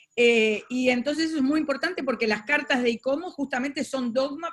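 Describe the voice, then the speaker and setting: In a Uruguayan accent, a woman speaks with a high pitch. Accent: Rioplatense Spanish (Uruguay). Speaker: moderator. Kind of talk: webinar moderation. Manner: fast.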